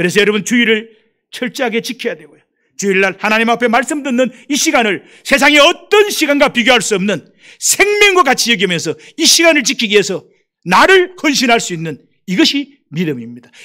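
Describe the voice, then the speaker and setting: Raised and projected, a man's bright, sharp voice sits at an extremely high pitch, moving at a fairly quick pace with very wide pitch swings. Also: big swings in loudness. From Gyeongsang Province, South Korea. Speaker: missionary. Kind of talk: sermon.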